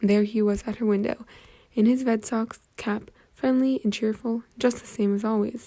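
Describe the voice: The reading aloud is plain, and the intonation stays fairly even throughout.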